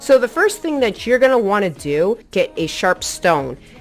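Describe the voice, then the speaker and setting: Music runs behind a woman as she talks. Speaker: gaming tutorial youtuber. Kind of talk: tutorial. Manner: casual.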